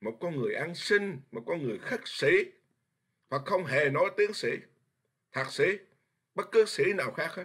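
With long, frequent pauses, a man speaks at a fairly slow pace over a quiet background. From Vietnam. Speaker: Buddhist monk teacher. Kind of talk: dharma lecture. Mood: earnest, forceful at times. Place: home room. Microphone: webcam.

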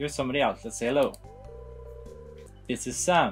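A man's voice with lively intonation over faint background music. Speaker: video game let's play host. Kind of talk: slow, clear explanation for English learners. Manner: slow, clear. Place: home room.

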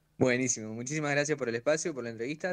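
Against a quiet background, a man with a medium pitch speaks at a very fast pace. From Santa Rosa, La Pampa, Argentina; La Pampa, Argentina. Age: young. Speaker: freestyle rapper; guest. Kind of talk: interview. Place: home room. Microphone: video call.

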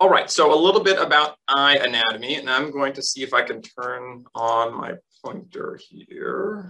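Lively intonation with an American accent, a bright, sharp tone, a moderate pace and big swings in loudness. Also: man, fairly high pitch for a man. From US West Coast, Los Angeles. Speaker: eye doctor. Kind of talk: lecture. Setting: video call. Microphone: video call.

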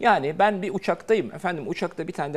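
The pace is very fast. It's a man talking. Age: 50s. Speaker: doctor; TV guest. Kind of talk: TV talk show interview. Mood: reassuring, dismissive of scare news. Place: studio. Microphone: lapel.

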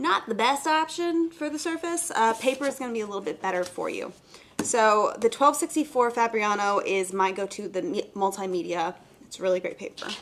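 Over light background noise, a woman speaks at a moderate pace, her loudness shifting in big swings and her pitch swinging very widely. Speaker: art instructor host. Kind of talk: live tutorial. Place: studio.

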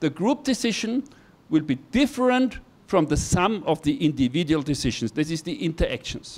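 Very wide pitch swings mark this man's speech. He has an Austrian accent and talks at a moderate pace. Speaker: university professor, hydrologist. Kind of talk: lecture. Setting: classroom with audience. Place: classroom. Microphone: handheld.

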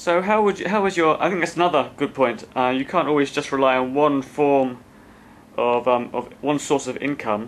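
Here a man talks in an unremarkable speaking voice at a moderate pace. His pitch is fairly high, with ordinary variation. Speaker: podcast host. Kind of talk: podcast host interviewing.

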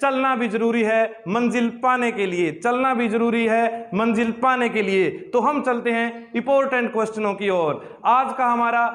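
Very even loudness, fairly even intonation and a fairly slow pace. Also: man, extremely high pitch for a man. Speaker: teacher. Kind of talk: lecture. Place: classroom. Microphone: lapel.

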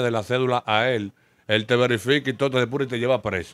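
He talks with a Dominican accent at a fairly quick pace. His pitch is medium. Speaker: street clothing vendor. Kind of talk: interview testimony.

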